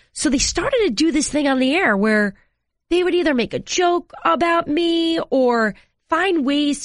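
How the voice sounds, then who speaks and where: Over a quiet background, a woman speaks with an American accent at a moderate pace. Her pitch is high and swings very widely. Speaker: sports reporter. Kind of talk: casual interview chat.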